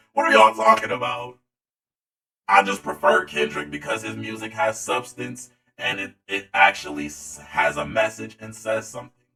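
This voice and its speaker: A man speaks at a moderate pace over background music. His volume rises and falls sharply. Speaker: youtube commentator. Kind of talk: casual commentary vlog. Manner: animated, yelling.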